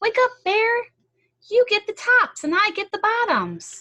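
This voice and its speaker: At a fairly slow pace, a woman uses a put-on character voice. It is squeaky and pitched extremely high. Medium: read story. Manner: eager, smooth-talking.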